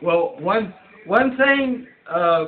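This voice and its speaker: At a very slow pace, the speaker uses lively intonation and an American accent. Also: man. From Michigan, Kalamazoo. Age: 80s+. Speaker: retired engineer and designer. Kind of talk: interview answers. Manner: halting, repeating words.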